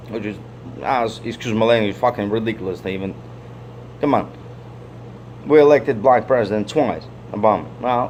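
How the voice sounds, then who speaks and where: A medium-pitched man with a Russian accent, ordinary pitch variation, a fairly quick pace, and long, frequent pauses. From Soviet Union (Russia/Ukraine). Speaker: vlogger. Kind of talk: casual monologue. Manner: halting, repetitive.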